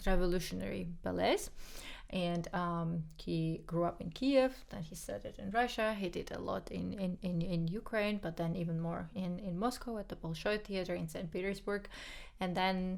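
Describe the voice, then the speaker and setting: A woman speaks at a moderate pace in a Georgian accent. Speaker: podcast co-host, pianist. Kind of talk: casual chat.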